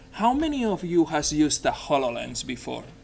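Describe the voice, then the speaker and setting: With a Spanish accent, a man is speaking. His intonation is lively. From Spain, Barcelona. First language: Spanish or Catalan. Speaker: software developer, conference speaker. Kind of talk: technical presentation.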